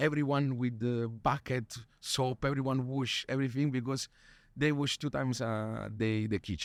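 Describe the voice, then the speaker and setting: Speaking with a Neapolitan accent, a man holds a medium pitch and fairly even intonation. The recording is very clean, with a silent background and a dry, close sound with no echo. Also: moderate pace. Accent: Neapolitan Italian accent in English. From Italy, Naples. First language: Italian. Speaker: chef. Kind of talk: interview. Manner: halting.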